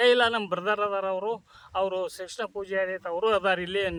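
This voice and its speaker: A man's high-pitched, raised and projected voice with fairly even intonation, in a dry, close sound with no echo. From northern Karnataka, Vijayapura district. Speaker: retired teacher and farmer. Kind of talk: interview testimony.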